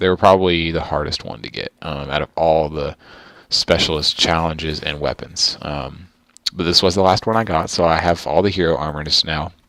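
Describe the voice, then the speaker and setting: With a very deep, low pitch, a man speaks at a moderate pace in fairly even intonation. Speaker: gaming youtuber. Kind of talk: gameplay commentary. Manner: soft-spoken; hesitant, many ums.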